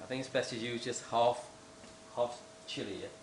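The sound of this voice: A man's medium-pitched voice with audible room echo.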